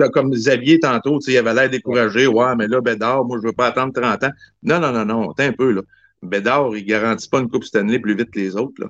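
The man's intonation stays fairly even while he speaks at a very fast pace. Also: medium pitch for a man. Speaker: hockey fan caller. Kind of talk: casual chat.

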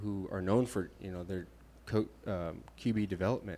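A man speaks in a plain, everyday voice with a fairly low pitch. His intonation is fairly even and his pace moderate. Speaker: podcast co-host. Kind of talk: casual sports chat.

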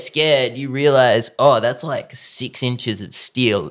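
The speaker uses an Australian accent and keeps a fairly slow pace. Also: man. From Australia, Sutherland Shire, Sydney. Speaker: professional bodyboarder. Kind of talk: casual chat. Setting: host's lounge room.

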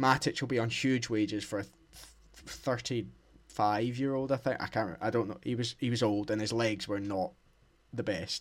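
A man with an unremarkable speaking voice talks at a moderate pace in a medium pitch with ordinary pitch variation, in a very clean recording with a silent background. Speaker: podcast co-host. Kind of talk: casual football chat. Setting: dark room, lo-fi home microphone.

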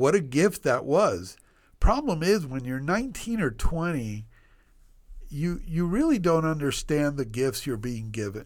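A man speaks in a fairly high voice at a fairly slow pace. His pitch swings very widely. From Puerto Rico and US (Cuban-born immigrant). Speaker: OB/GYN physician and medical school faculty. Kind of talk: casual interview, life story. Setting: studio podcast. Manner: animated, energetic.

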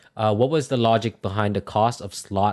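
Against a quiet background, a man with a normal speaking voice talks at a moderate pace. His pitch is fairly low and his intonation fairly even. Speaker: NFT project moderator. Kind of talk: community AMA on Discord. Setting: Discord voice chat.

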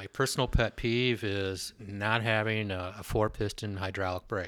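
In a very clean recording with a silent background, a man speaks in a plain, everyday voice. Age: 50s. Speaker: bike shop owner. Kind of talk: casual chat.

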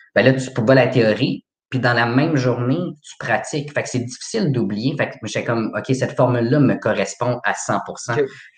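A man's somewhat breathy, medium-pitched voice with fairly even intonation at a moderate pace. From Quebec, Laval. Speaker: horticulture graduate. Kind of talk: casual interview.

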